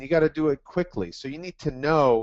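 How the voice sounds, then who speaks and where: A man with a fairly high pitch talks at a moderate pace in an ordinary speaking voice, his pitch varying in an ordinary way. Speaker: test prep tutor. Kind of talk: webinar presentation. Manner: repetitive fillers.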